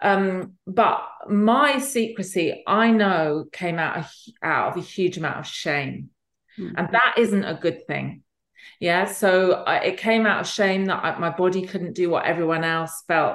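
A woman speaks at a fairly slow pace in a fairly low pitch, with ordinary pitch variation. Her loudness swings widely. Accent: English. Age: 50s. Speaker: author and fertility advocate. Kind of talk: interview. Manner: halting.

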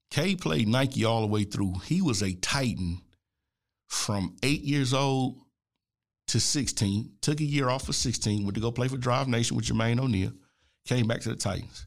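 Very clean and set against a silent background, a man's animated voice moves at a moderate pace and medium pitch, with lively intonation and very even loudness. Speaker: basketball analyst and podcast host. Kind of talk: solo podcast monologue.

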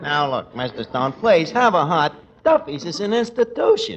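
A put-on character voice at a moderate pace, with big pitch swings and a slightly husky edge. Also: man, fairly high pitch for a man.

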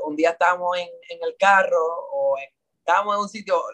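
A man is speaking. His pace is moderate. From Puerto Rico. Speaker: singer. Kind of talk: interview. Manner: halting.

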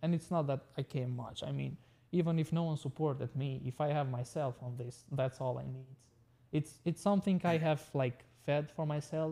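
A man's fairly high, somewhat breathy voice, dark and mellow in tone, at a moderate pace with fairly even intonation. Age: 20s. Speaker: tech business owner. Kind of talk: casual interview. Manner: halting.

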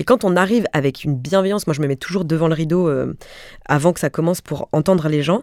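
A woman speaks at a fairly quick pace in a fairly low pitch, with ordinary pitch variation. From Alsace, Mulhouse. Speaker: comedian and actress. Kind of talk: interview conversation. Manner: animated.

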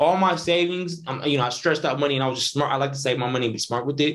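This man has a normal speaking voice with an American accent. His pitch is fairly high and his intonation fairly even. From Northern California. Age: 20s. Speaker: independent filmmaker. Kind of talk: casual interview.

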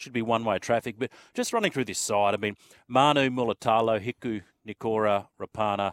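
A man speaks at a fairly quick pace with an Australian accent, his fairly low voice caught in a very clean recording against a silent background. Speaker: sports radio host. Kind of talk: casual chat.

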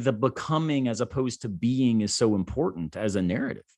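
The man's medium-pitched delivery is in a normal speaking voice. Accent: American. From Florida, US South. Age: 40s. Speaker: philosopher. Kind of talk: casual chat.

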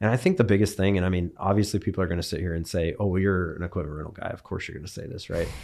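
A man with an American accent and a very deep, low pitch talks at a very fast pace with hardly any pauses, fairly even intonation and big swings in loudness. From California, Bakersfield. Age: 30s. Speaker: equipment business owner. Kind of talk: casual chat.

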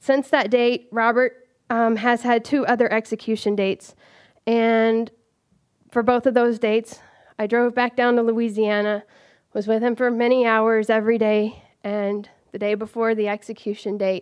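The intonation is monotone and flat, at a moderate pace. The background is quiet. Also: woman. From US South (rural Georgia). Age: 30s. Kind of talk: live storytelling.

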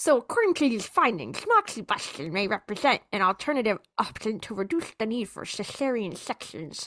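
Doing a put-on character voice, a woman talks with hardly any pauses at a fairly high pitch. Her pitch swings very widely. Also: moderate pace. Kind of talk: formal scientific.

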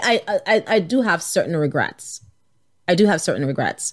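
Very wide pitch swings come through on a very clean recording with a silent background. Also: woman. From Nigeria. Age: 40s. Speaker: physician and leadership coach. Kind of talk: casual interview.

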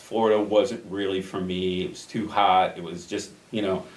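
Audible room echo surrounds a voice with an American accent. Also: man. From Chicago suburbs, Illinois (Addison). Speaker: artist. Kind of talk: interview, casual chat.

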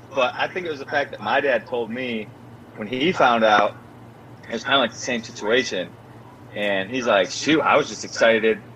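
A man talks at a moderate speed, with ordinary pitch variation and long, frequent pauses, against noticeable background noise. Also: medium pitch for a man. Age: 20s. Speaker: former show regular, now a father. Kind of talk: casual chat. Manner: animated.

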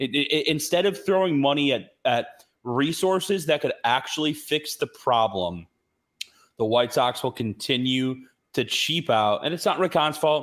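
A man with an American accent and a plain, everyday voice talks at a moderate pace in a fairly high pitch, with lively intonation and very even loudness. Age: 30s. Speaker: sports podcast host and radio producer. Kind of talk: casual chat.

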